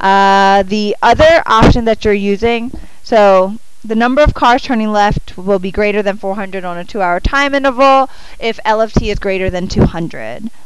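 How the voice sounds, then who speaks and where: Mumbling, a woman speaks with ordinary pitch variation. Noticeable background noise and audible room echo surround her. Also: medium pitch for a woman, moderate pace. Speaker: math teacher. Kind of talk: classroom lecture. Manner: halting, thinking aloud.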